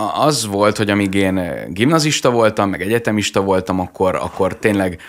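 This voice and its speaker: Against a quiet background, a man with a fairly low pitch speaks at a fairly quick pace with lively intonation. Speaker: lawyer and TikTok vlogger; lawyer, TikTok vlogger. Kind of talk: radio interview. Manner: articulate and enthusiastic. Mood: friendly, smiling. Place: studio. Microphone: studio mic.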